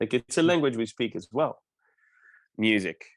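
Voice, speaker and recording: Here a man speaks with a Quebec accent at a fairly quick pace. His pitch is medium, and the sound is dry and close with no echo. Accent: Québécois French accent in English. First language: French. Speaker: opera singer. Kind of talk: interview.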